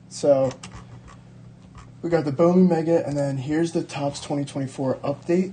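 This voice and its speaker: With long, frequent pauses, a man talks in a fairly high pitch with a somewhat breathy quality. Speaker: sports card collector and video creator. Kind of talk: casual card-opening video. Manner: casual, many fillers; fast.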